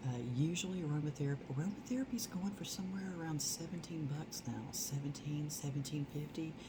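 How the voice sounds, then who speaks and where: A soft-spoken woman talks at a fairly quick pace. Noticeable background noise is audible. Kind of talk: ASMR product haul.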